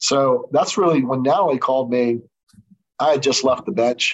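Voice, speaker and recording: At a moderate pace, a man with an unremarkable speaking voice talks at medium pitch. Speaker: trial lawyer and former judge. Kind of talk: interview.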